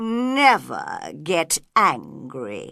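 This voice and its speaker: A woman uses a put-on character voice against a quiet background. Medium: read story. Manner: slow, sleepy.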